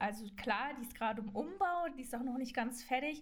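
Fairly quick speech from a woman, fairly high in pitch, with audible room echo. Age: 20s. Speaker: trainee journalist and reporter. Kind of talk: casual podcast introduction. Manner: enthusiastic, youthful slang.

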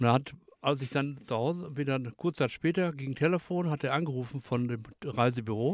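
With a plain, everyday voice, a man talks at a medium pitch. His pace is fairly quick and his intonation lively. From Germany, Ruhr area (Bottrop). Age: 60s. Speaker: retired forklift driver. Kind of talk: casual chat.

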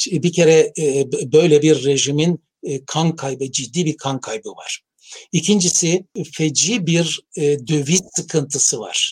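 At a very slow pace, a man speaks in a fairly high, somewhat breathy voice. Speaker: professor of international relations. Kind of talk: interview. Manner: halting, frequent fillers.

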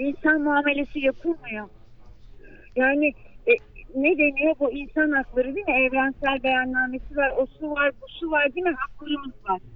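A woman with a high-pitched voice keeps a moderate pace, her pitch varying in an ordinary way. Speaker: mother of a missing migrant. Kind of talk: phone interview. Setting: phone call. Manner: emotional.

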